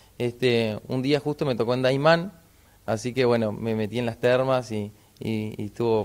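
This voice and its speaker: A man speaks at a moderate pace. His intonation is fairly even. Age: 30s. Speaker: inline skater, adventurer. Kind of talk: TV interview. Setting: on location in a sports shop. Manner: halting, many fillers. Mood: friendly, relaxed. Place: shop. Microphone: handheld.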